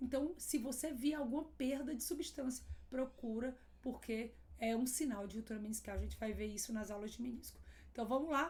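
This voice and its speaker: A woman speaks in a high voice with ordinary pitch variation at a moderate pace. There is audible room echo. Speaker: radiologist teaching. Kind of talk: lecture.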